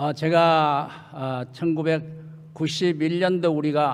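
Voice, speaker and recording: Very slowly, a man speaks with a fairly high pitch. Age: 80s. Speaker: retired church leader. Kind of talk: speech. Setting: church. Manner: halting.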